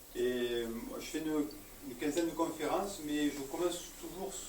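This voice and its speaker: A man is heard over noticeable background noise, with audible echo from the room. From Paris, France. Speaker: enneagram trainer and therapist, speaker. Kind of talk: lecture to a live audience. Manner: hesitant, many fillers.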